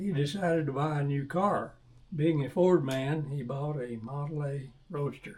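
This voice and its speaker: Speaking in a Texan accent, a man uses a fairly high pitch and ordinary pitch variation. His voice is somewhat breathy, and his pace is moderate. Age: 80s+. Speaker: classic car owner. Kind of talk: reading prepared statement.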